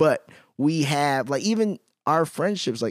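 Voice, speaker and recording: At a fairly slow pace, a man with an American accent speaks with very wide pitch swings. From Chicago, US. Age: 30s. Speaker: podcast host. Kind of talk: casual interview chat.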